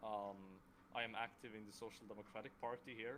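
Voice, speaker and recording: In a Swedish accent, a man speaks with a fairly low pitch and fairly even intonation. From Sweden. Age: 20s. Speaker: student and democracy platform developer. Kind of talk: online meeting self-introduction. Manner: halting, with frequent stutters.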